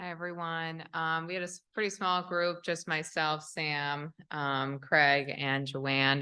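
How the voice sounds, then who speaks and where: Against a quiet background, a woman with an American accent speaks at a very slow pace with hardly any pauses, her very deep, low voice bright and sharp in tone and her intonation fairly even. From New York. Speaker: social worker. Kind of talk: group report-back.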